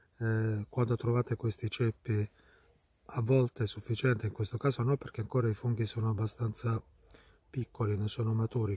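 A quiet man speaks in a flat monotone, somewhat breathy and dark, mellow in tone, in a dry sound with no echo. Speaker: mycologist. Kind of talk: outdoor tutorial. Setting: outdoors in woods. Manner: quiet, low voice. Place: forest. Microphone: phone near.

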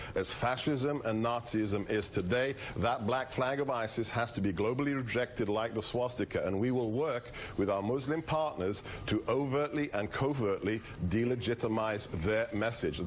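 A man talks at a moderate pace with very even loudness and ordinary pitch variation. Light background noise can be heard. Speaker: guest. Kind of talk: live TV interview answer. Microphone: lapel.

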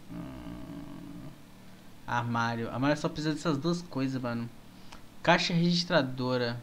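Fairly slow speech broken by long, frequent pauses, with ordinary pitch variation over light background noise. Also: man. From Brazil. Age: 20s. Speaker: gaming streamer. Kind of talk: live gameplay stream chat. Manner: animated. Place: home room.

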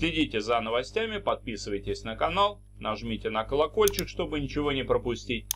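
A man at a moderate pace, with light background noise. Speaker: YouTube host covering investment news. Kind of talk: video news commentary.

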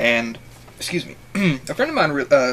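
Light background noise behind a man, moderate pace. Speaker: reaction video creator. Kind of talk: casual vlog chat. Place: home room. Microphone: webcam.

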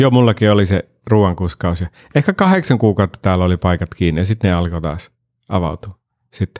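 Very deep and low, a man's voice carries ordinary pitch variation over a quiet background. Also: moderate pace. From Finland. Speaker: podcast host and actor; podcast host, actor. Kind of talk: casual chat. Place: studio. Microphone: studio mic.

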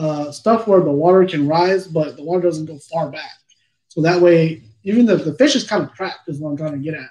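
Talking at a moderate pace, a man uses a high pitch, ordinary pitch variation and a dark, mellow tone. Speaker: fishing channel host. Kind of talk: live Q&A answer. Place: home room. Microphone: webcam.

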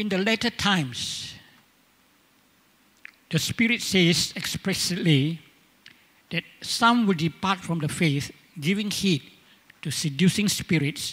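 A man at a high pitch with ordinary variation, very slow, with long, frequent pauses. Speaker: church elder preaching. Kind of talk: sermon. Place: church. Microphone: handheld.

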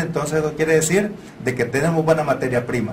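Against light background noise, a man talks with ordinary pitch variation. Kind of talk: interview answer. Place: meeting room. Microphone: lapel.

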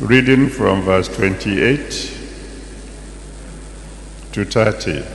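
With long, frequent pauses, a man speaks very slowly in a fairly low voice with lively intonation. Audible room echo and light background noise come through. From Nigeria. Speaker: pastor. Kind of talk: sermon. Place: church. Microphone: handheld.

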